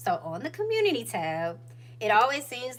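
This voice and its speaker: In a room with audible echo, a woman with an Atlanta accent speaks at a moderate pace. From US South, Atlanta Georgia. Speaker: YouTuber, lifestyle vlogger. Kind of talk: casual livestream chat. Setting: home livestream.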